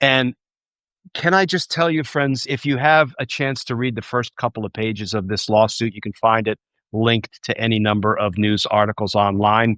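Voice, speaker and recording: With a New Jersey accent, a man of medium pitch speaks at a moderate pace with ordinary pitch variation, the sound dry and close with no echo against a quiet background. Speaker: former trial prosecutor turned political commentator. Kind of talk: livestream commentary. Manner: conversational.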